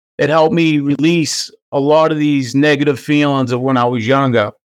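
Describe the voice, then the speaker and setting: A man's fairly high voice in a Boston accent, at a moderate pace with fairly even intonation. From US Northeast, Boston. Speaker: podcast host. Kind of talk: casual chat.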